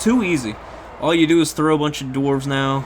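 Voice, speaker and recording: A man talks at a very fast pace with ordinary pitch variation. There is noticeable background noise. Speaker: gaming commentator. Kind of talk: replay commentary. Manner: animated.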